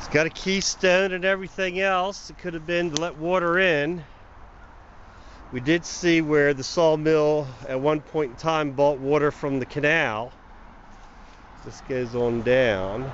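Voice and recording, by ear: A man's fairly high voice, fairly slow and fairly even in intonation. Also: fairly bright tone.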